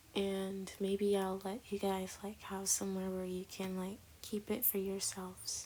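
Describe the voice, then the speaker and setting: Quiet and fairly slow, a woman speaks in a dark, mellow tone with monotone, flat intonation. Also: medium pitch for a woman. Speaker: artist narrating drawing video. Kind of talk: casual voiceover commentary. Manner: quiet, keeping voice down.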